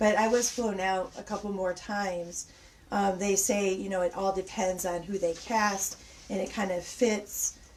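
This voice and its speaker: Noticeable background noise is heard as a woman speaks at a fairly slow pace. Her medium-pitched voice stays monotone, with flat intonation. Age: 40s. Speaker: special effects makeup artist. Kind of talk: casual interview chat. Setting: livestream from a basement. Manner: halting.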